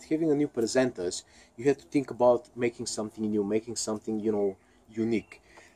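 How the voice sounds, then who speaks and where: The dark, mellow tone of a speaker with a non-native accent comes through in a dry, close sound with no echo. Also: man. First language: not English. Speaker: YouTube vlogger. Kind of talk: opinion rant vlog. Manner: halting, many fillers and repeats.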